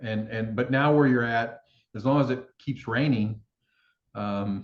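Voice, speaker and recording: A man's voice of medium pitch with ordinary pitch variation. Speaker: plant-based food company founder, interviewer. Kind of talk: interview questions, casual conversation.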